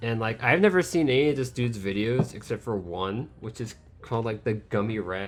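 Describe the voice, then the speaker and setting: With music in the background, a man speaks at a moderate pace in a medium pitch with ordinary pitch variation. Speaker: let's play gamer. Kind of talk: gameplay commentary. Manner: casual, rambling with self-corrections.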